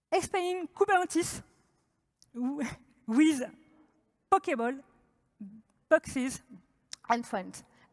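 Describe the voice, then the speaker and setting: A high-pitched woman with a French accent speaks very slowly with long, frequent pauses, in a dry, close sound with no echo. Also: lively intonation. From France. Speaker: developer advocate. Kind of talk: conference talk.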